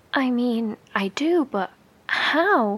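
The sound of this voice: A woman's put-on character voice, fairly high-pitched and fairly bright in tone, with a slightly husky edge, lively intonation and a very slow pace.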